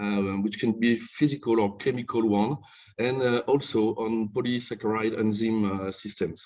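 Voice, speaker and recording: A man speaks in a French accent. His intonation stays fairly even. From France (Normandy). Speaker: professor. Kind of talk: lecture. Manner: halting.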